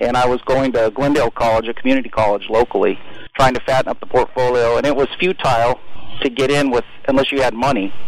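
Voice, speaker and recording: A man rushes through his words at a very fast pace, his intonation fairly even, as noticeable background noise fills the recording. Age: 50s. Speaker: podcast guest, entrepreneur.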